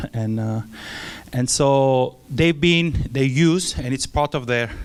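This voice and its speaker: A man with a French accent and a medium pitch. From France. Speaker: missionary. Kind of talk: church mission presentation. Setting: church with audience. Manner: halting, many filler sounds.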